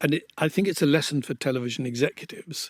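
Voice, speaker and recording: Man with an English accent, fairly high in pitch with lively intonation, on a very clean recording with a silent background and a dry, close sound with no echo. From England. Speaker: podcast host, former television executive. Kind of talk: casual chat.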